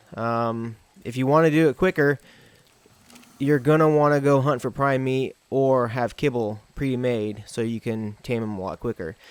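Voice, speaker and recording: A man mumbling at medium pitch and a moderate pace, with ordinary pitch variation and a dry, close sound free of echo. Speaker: gaming YouTuber. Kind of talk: gameplay tutorial. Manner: halting.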